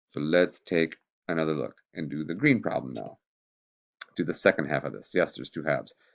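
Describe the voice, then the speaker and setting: A man with a very deep, low pitch and vocal fry talks at a fairly quick pace. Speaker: chemistry teacher. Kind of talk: tutorial. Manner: casual.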